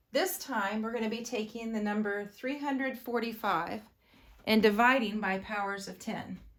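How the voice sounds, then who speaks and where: Amid audible room echo, a woman with a fairly high pitch talks at a moderate pace with ordinary pitch variation. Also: long, frequent pauses. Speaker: elementary school teacher. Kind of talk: video lesson for pupils. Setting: recorded video lesson.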